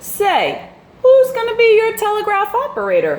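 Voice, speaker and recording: Putting on a squeaky character voice, a woman talks at an extremely high pitch and a moderate pace. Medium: read story. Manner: folksy, drawling.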